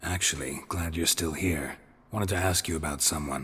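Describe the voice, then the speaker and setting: A man's raspy, very deep and low put-on character voice in a deadpan tone, at a moderate pace. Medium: video game. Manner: deadpan, laconic.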